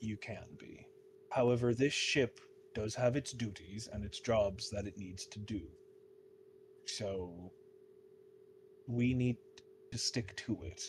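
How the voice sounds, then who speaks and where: Putting on a gruff character voice at a medium pitch, a man speaks at a fairly slow pace with long, frequent pauses. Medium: actual play. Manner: gruff, terse, seafaring speech.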